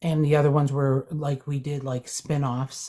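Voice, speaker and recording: The voice is somewhat breathy, with a dark, mellow tone and a monotone, flat intonation. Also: woman. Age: 60s. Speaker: anti-racism educator. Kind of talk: live panel discussion.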